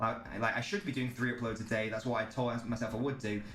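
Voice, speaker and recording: A man speaks with an English accent at a medium pitch. Audible room echo surrounds his voice. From England. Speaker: football streamer. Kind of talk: live stream chat. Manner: casual, filler-heavy.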